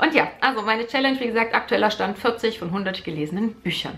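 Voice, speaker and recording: The woman speaks with lively intonation. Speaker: book vlogger. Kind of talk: casual vlog chat. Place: home room.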